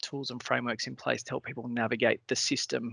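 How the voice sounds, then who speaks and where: Against a quiet background, a man with an Australian accent speaks at a fairly quick pace in a monotone, flat intonation. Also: dry, close sound with no echo. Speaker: cancer patient panelist. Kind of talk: webinar panel discussion. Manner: fast, jumping between points.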